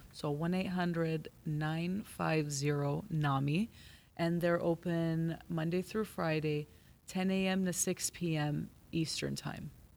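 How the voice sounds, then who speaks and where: A woman speaks in a plain, everyday voice, fairly low in pitch, at a fairly slow pace. Her loudness stays very even, her intonation is fairly even, and the recording is very clean with a silent background. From Los Angeles. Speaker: mental health worker. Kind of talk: casual chat.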